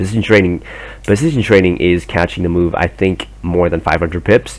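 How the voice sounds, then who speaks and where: Very deep and low in pitch, a man speaks at a fairly quick pace with very wide pitch swings. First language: not English. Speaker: trading educator. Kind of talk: tutorial. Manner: halting; hesitant, many fillers.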